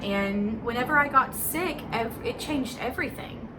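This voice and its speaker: Audible room echo around a woman's voice, plus background music. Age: 20s. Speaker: vlogger. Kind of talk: casual vlog monologue. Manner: halting.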